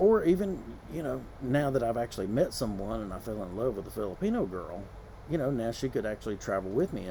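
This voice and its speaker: Talking at a very fast pace, a man with a dark, mellow tone and vocal fry uses lively intonation. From US South. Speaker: vlogger. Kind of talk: casual vlog monologue. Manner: conversational, with many fillers.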